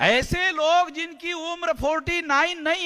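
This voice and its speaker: This man uses a raised, projected voice with an animated tone. His pitch is extremely high, with ordinary variation. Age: 60s. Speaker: activist organization leader. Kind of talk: political speech. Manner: animated, repetitive oratory.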